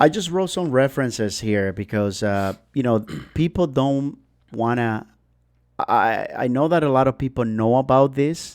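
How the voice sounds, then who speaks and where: On a very clean recording with a silent background, a man talks at a moderate pace and medium pitch with lively intonation. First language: not English. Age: 40s. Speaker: podcast guest. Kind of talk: casual chat. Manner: halting.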